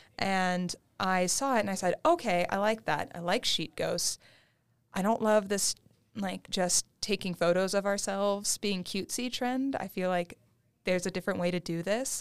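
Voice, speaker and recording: In a very clean recording with a silent background, a woman with a plain, everyday voice speaks at a moderate pace, her medium pitch showing ordinary variation. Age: 20s. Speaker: graduate student and museum engagement associate. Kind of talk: casual chat.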